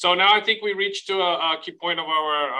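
A man with a Portuguese accent talks at a moderate pace with ordinary pitch variation. The background is quiet. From Brazil. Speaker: professor and moderator; professor, moderator. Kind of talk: panel moderation. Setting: video call. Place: home room. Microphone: video call.

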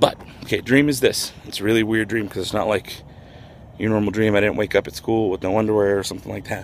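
Over light background noise, a man talks at a very fast pace with a fairly low pitch and fairly even intonation. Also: dry sound with no echo. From New Mexico. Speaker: vlogger. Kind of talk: casual vlog monologue. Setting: outdoors, walking in neighborhood. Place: street. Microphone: not so good quality, not in studio; phone near.

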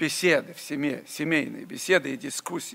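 A man's fairly high voice with a bright, sharp tone and vocal fry, at a moderate pace. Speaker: preacher. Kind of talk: sermon. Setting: church. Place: church. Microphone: podium.

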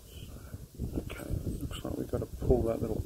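A man speaks at a moderate pace against loud background noise. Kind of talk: casual tutorial commentary. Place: street. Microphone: phone near.

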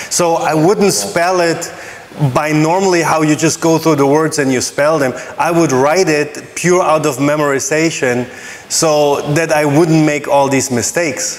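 This man has a plain, everyday voice, pitched fairly high, with fairly even intonation and very even loudness. Light background noise sits behind him. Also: fairly slow pace. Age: 40s. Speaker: cruise line training manager. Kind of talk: casual chat. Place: home room.

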